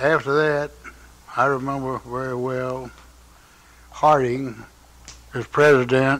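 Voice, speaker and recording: A man speaks at a very slow pace with a North Carolina accent. His intonation is monotone and flat. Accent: Southern US, North Carolina. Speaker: interviewee recalling his life. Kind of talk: oral history interview. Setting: home by a fireplace. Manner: halting, many fillers.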